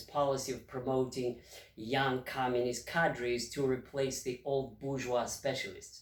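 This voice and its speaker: With a Russian accent, a man speaks at a moderate pace in a fairly high pitch. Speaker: retired history professor. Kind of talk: history lecture to camera.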